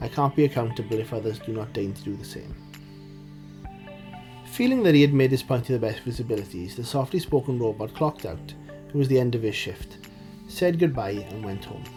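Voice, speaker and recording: With music in the background, a man of medium pitch speaks fairly quickly, taking long, frequent pauses, his loudness swinging widely. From Wales. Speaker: indie writer. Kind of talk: story reading.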